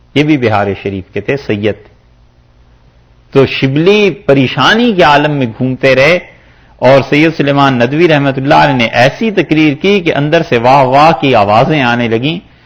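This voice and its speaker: Fairly high in pitch, this man has an unremarkable speaking voice and lively intonation. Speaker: Islamic scholar giving tafseer. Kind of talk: storytelling in a religious lecture.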